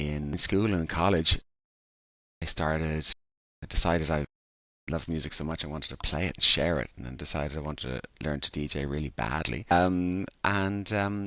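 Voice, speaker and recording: Speaking at a moderate pace with an Irish accent, a man has a very deep, low pitch and ordinary pitch variation. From Ireland, Dublin. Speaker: DJ and events organizer. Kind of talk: podcast interview. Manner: halting, many fillers.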